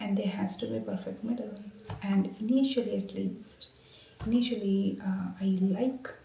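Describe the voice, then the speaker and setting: A woman whispering, with noticeable background noise and audible room echo. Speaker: academic vlogger, researcher. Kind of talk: casual vlog talk. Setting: office. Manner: halting, many fillers.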